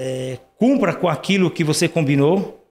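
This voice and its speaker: With an ordinary speaking voice, a man talks at a moderate pace in a fairly high pitch. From Brazil, rural Paraná interior. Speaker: dental lab owner. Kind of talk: casual interview chat.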